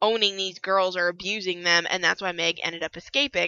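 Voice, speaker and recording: In a plain, everyday voice, a woman speaks at medium pitch with fairly even intonation. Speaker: book reviewer. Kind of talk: casual book review talk. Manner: casual, chatty.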